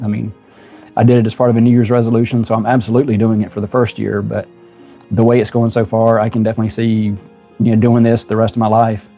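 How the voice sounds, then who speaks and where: Over background music, a man with a Southern US accent talks very fast at a medium pitch, his intonation monotone and flat. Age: 50s. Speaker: YouTuber. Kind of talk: casual talk to camera.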